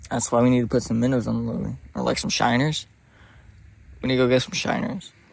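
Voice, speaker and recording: Talking at a very fast pace, a man breaks his speech with long, frequent pauses. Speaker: fishing video creator. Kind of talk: casual chat. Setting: outdoors. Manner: loud.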